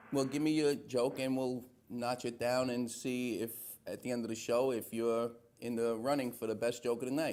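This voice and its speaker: A man speaks with a New York accent at a medium pitch. His intonation is flat and monotone. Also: moderate pace. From New York City, Little Italy. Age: 50s. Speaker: talk show host. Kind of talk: live call-in talk show. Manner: casual.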